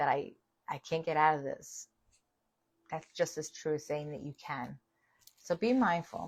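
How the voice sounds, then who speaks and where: A woman with a New York accent speaks at a fairly slow pace, her pitch very deep and low, with ordinary variation. She leaves long, frequent pauses. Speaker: spiritual author and live host. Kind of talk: livestream spiritual talk. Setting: livestream video. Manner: casual, conversational with fillers.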